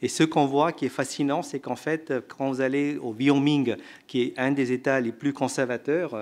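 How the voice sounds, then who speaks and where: Speaking at a moderate pace, a man uses an ordinary speaking voice with a fairly high pitch and fairly even intonation. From India. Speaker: economist, researcher and author. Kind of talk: panel discussion answer. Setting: conference room with audience.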